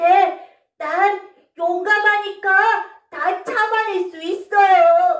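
In a put-on character voice, a woman speaks at an extremely high pitch and a very slow pace. There is slight echo. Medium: read story. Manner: bright, spirited.

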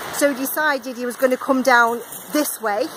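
Raised and projected, a woman's high voice moves at a fairly slow pace with ordinary pitch variation over noticeable background noise. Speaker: vlogger. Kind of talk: travel vlog narration. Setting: outdoors by the sea, wind noise. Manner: animated.

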